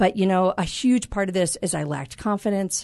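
The speaker has a plain, everyday voice and talks at a moderate pace. The background is quiet. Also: woman. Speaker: life coach. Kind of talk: casual interview chat. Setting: studio.

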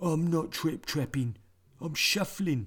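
A man puts on a character voice, talking rather slowly at a fairly high pitch. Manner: meek, indignant.

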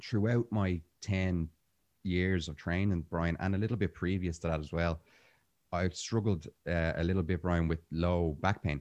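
Over a quiet background, a man with an Irish accent and a very deep, low pitch talks at a moderate pace with fairly even intonation. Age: 30s. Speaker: jiu-jitsu instructor and breathwork teacher. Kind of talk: casual interview conversation.

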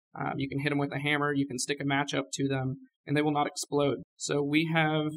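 A man with an American accent, fairly high-pitched, at a very fast pace. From California. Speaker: research scientist at a startup. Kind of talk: interview.

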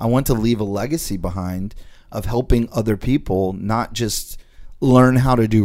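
Ordinary pitch variation from a man with an unremarkable speaking voice. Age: 40s. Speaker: podcast host and real estate investor. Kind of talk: casual chat.

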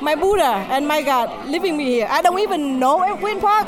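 Moderate pace with a Vietnamese accent, crowd noise in the background. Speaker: restaurant owner.

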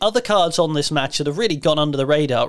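With an English accent, a man speaks at a fairly high pitch that varies in an ordinary way. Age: 30s. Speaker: wrestling podcast host, broadcaster. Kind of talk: casual chat.

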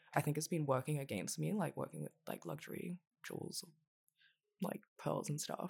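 A woman speaks at a moderate pace with long, frequent pauses and vocal fry. Her pitch is very deep and low, with ordinary variation. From Hong Kong. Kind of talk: casual chat.

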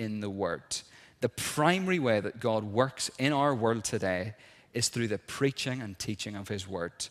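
A man with a Northern Irish accent at a moderate pace, with ordinary pitch variation, on a very clean recording with a silent background. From Northern Ireland, South Armagh. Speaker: minister. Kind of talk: sermon. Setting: church.

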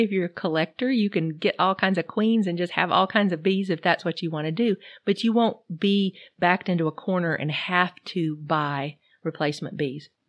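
Her medium-pitched voice moves at a fairly quick pace with ordinary pitch variation, and the woman's sound is dry and close with no echo. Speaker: beekeeping podcast host. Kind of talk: solo podcast talk, partly read from notes. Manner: reading off notes.

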